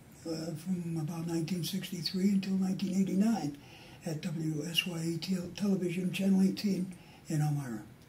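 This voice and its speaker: A man's high-pitched voice with fairly even intonation at a fairly quick pace, audible room echo around it. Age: 60s. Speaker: retired TV newsman. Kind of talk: casual chat.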